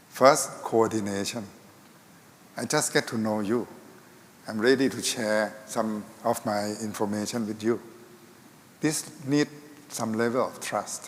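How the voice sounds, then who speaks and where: In a Thai accent, a man speaks at a fairly slow pace with a medium pitch, fairly even intonation, and long, frequent pauses. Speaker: health ministry official. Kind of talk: panel discussion.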